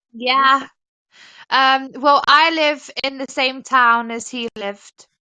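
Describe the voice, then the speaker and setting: A woman with an English accent talks very slowly at a high pitch, her intonation fairly even. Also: big swings in loudness. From England, Nottingham area. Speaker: caller on live stream. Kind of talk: casual chat.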